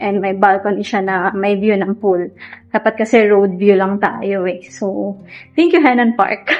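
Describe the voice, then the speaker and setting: Music plays behind a soft-spoken woman at a medium pitch. She talks at a fairly slow pace with ordinary pitch variation. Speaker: travel vlogger. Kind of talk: vlog walkthrough.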